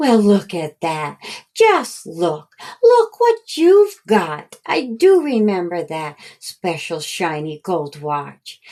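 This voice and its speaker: A woman performs a put-on character voice at medium pitch. Her pace is very slow. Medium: read story. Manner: warm, affectionate.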